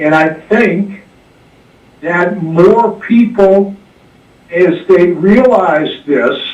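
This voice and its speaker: Long, frequent pauses break up very slow speech, with audible room echo. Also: man, high pitch for a man, ordinary pitch variation. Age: 70s. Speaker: caller, military veteran. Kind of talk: call-in radio talk.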